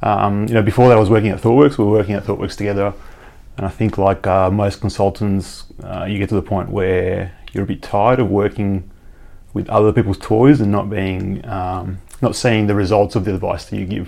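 A man's dark, mellow tone, fairly low-pitched, at a fairly quick pace with fairly even intonation. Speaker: chief engineer at tech company. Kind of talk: casual interview chat.

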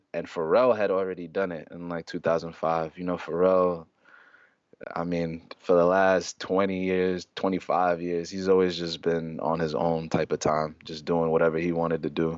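In a very deep, low pitch, a man talks with a monotone, flat intonation. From New York City, Harlem. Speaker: recording artist and clothing designer. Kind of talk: casual chat.

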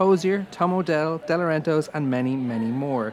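A man's unremarkable speaking voice, fairly high in pitch, with lively intonation. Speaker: podcast host. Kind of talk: podcast presenting, ad reading.

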